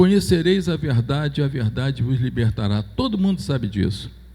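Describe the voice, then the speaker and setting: Very wide pitch swings in a man's somewhat breathy voice. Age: 70s. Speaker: church elder. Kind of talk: church announcement. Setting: church.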